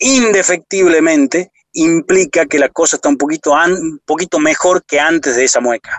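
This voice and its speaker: A high-pitched male voice with ordinary pitch movement, at a medium speed. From Argentina, Salta province. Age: 40s. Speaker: motivational speaker. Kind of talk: interview conversation.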